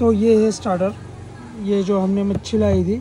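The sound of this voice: Faint background noise sits behind a man with a high pitch and a dark, mellow tone. He speaks slowly.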